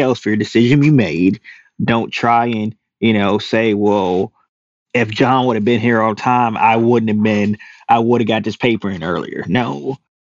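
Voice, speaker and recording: A man with a Louisiana accent at medium pitch, moderate pace and ordinary pitch variation. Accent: Louisiana Southern US. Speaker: hunter and outdoor TV personality. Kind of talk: casual chat.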